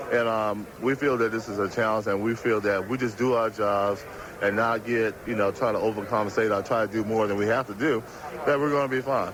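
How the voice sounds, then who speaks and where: A man speaks fairly quickly with hardly any pauses. Noticeable background noise runs behind him. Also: medium pitch for a man, fairly even intonation. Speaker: professional football linebacker. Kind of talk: interview answer.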